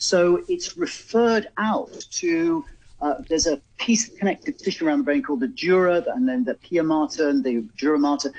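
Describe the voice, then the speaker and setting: A man with a southern English accent, high-pitched, with very wide pitch swings, big swings in loudness and a moderate pace. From England, Oxford. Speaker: bodywork and pain management therapist. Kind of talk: radio phone-in advice. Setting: remote studio link to radio show.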